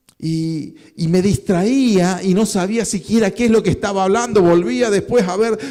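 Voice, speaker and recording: Fairly slow speech from a man with a high-pitched voice. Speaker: pastor. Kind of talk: sermon.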